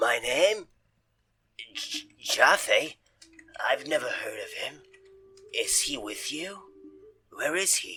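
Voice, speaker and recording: Putting on a character voice, a man drags his words out very slowly, stopping often for long pauses. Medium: actual play. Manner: rambling, casual.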